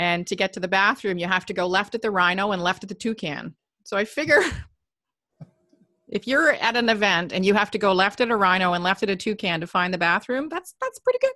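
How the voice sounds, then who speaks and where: A woman talks at a very fast pace with a medium pitch, ordinary pitch variation, and a bright, sharp tone. The sound is dry and close with no echo. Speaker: event host. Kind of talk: casual interview chat.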